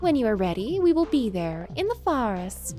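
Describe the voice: Clear music plays in the background behind a female-sounding voice. She does a put-on character voice at a moderate pace.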